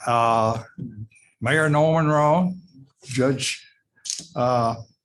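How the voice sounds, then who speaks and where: Someone speaks very slowly with a Tennessee accent and ordinary pitch variation. Audible room echo surrounds the voice. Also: man, medium pitch for a man. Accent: Tennessee Southern. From US South. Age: 80s+. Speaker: heritage preservation representative. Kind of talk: public comment at city meeting. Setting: city council meeting.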